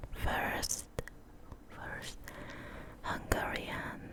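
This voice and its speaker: A whisper comes through. Beneath it, background noise is noticeable. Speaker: ASMR artist. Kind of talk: ASMR trigger words. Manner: repetitive, slow.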